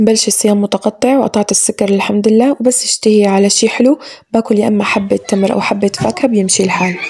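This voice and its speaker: A woman at medium pitch talks at a moderate pace with hardly any pauses, very even loudness and fairly even intonation, in a dry, close sound without echo but with noticeable background noise. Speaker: home cooking vlogger. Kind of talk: voiceover narration of cooking routine.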